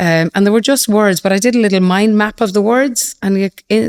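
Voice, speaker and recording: The speaker has an Irish accent and a fairly quick pace. The sound is dry and close, with no echo. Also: woman. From Ireland. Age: 50s. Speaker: fintech CEO. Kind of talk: podcast interview. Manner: repetitive, with false starts.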